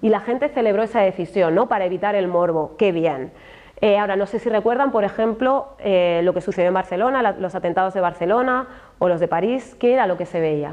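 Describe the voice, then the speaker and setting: At a fairly quick pace, a woman with a Madrid accent speaks at medium pitch with ordinary pitch variation. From Spain, Madrid area (Alcorcón). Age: 40s. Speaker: journalist and speaker on racism in media. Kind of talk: talk to an audience. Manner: animated.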